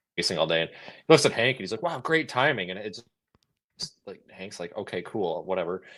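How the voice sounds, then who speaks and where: A man with an American accent speaks with vocal fry. His pitch swings very widely. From United States. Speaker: storm chaser. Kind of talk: casual chat. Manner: animated, halting with restarts.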